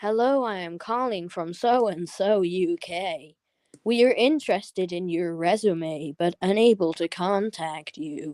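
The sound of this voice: In a put-on, robotic character voice, a woman speaks at a fairly slow pace with a medium pitch on a very clean recording with a silent background.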